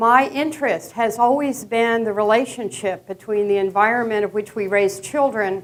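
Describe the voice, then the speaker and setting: A woman's medium-pitched voice moves at a moderate pace, its intonation fairly even. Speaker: professor. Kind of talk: lecture. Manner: casual, filler-heavy.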